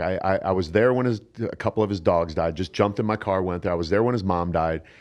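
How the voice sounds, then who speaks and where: With a Midwestern US accent, a man speaks at a fairly quick pace with lively intonation. The background is quiet. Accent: US Midwest. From Ohio, US Midwest (Canton). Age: 60s. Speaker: bodybuilder and fitness coach. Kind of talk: casual interview. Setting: studio.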